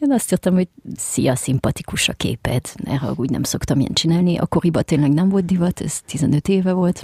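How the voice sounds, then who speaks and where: A woman with a French accent speaks at a fairly quick pace and fairly low pitch, with lively intonation. Her tone is dark, mellow and somewhat breathy, in a dry, close sound with no echo. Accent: French-tinged Hungarian. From France. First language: French (speaking Hungarian). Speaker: screenwriter and choreographer. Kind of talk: casual chat.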